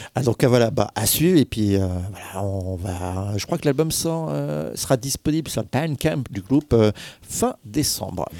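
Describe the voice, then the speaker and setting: On a very clean recording with a silent background and a dry, close sound with no echo, a man of medium pitch talks at a fairly slow pace with a dark, mellow tone and very wide pitch swings. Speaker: radio host. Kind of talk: casual chat.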